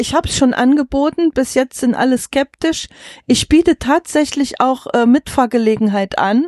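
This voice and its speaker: At a moderate pace, a woman with a high voice speaks with ordinary pitch variation in a dry, close sound with no echo. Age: 50s. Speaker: farmer and wagon traveller. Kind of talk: interview. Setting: inside a covered horse wagon.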